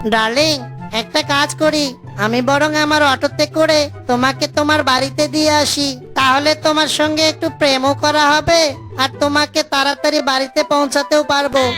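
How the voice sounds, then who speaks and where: Over clear background music, a man does a cartoonish character voice at a fairly slow pace. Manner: playful, mixes Hindi and English.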